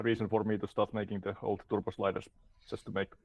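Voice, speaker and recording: A man speaks with a Finnish accent at a fairly low pitch. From Finland. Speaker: game developer. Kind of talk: interview.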